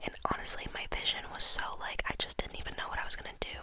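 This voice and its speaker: A woman whispers over noticeable background noise. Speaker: interior design college student. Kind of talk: ASMR ramble talking to camera, explaining a school project. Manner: close whispers, casual chatty.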